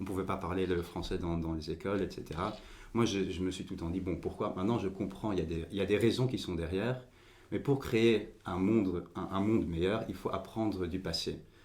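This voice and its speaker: A man's very deep, low voice at a fairly quick pace, with fairly even intonation and audible room echo. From Belgium, Overijse near the language border. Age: 20s. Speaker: political party leader. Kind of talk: podcast interview. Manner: halting, many repetitions and fillers.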